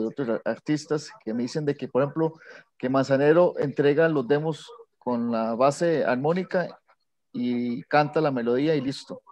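This man has a normal speaking voice with a fairly high pitch. He keeps a moderate pace with ordinary pitch variation. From Costa Rica. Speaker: composer. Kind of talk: Q&A question on video call.

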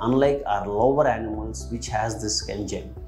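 A moderate pace with faint music in the background. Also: man. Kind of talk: medical explainer. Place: office. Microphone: lapel.

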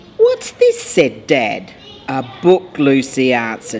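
Music plays in the background as the speaker goes at a very slow pace. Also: woman. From Australia. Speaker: mayor. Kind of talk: children's picture book read-aloud.

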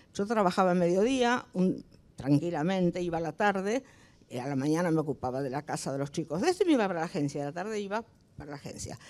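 Talking at a very fast pace, a woman uses lively intonation and a fairly low pitch. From Argentina, Entre Ríos; Argentina. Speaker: retired advertising creative; panelist. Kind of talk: panel discussion. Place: hall. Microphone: handheld.

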